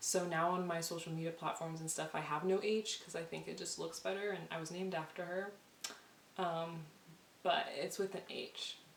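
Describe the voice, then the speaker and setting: Amid noticeable background noise and audible room echo, a woman speaks in a monotone, flat intonation at a fairly low pitch. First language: Spanish. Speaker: vlogger. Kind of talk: casual chat. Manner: fast.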